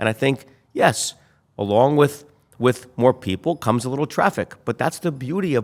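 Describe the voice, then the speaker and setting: In a dry, close sound with no echo, a man speaks at a medium pitch and a moderate pace in an ordinary speaking voice. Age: 60s. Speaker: real estate developer. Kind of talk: interview. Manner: casual.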